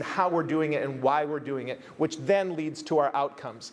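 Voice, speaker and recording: A man with an American accent speaks with ordinary pitch variation over noticeable background noise. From United States. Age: 50s. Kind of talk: conference keynote talk.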